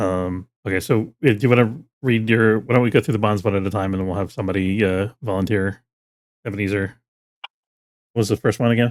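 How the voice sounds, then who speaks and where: A man with an American accent talks at a very fast pace in a fairly low voice, his intonation fairly even, with long pauses that come often. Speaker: game master. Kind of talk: tabletop roleplaying game session. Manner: casual, hesitant with fillers.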